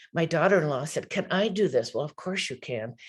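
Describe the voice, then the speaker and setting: A woman speaks over a quiet background. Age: 70s. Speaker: patient advocate. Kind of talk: presentation. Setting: video call.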